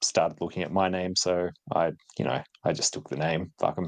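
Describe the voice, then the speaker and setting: A man speaks with an Australian accent. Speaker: retro tech youtuber. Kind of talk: casual chat. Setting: live stream.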